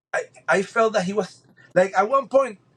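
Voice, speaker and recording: A man speaks in a Spanish accent with a high pitch. His intonation is lively and his pace moderate. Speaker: spearfisherman. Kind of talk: podcast interview. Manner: halting, many repeated words.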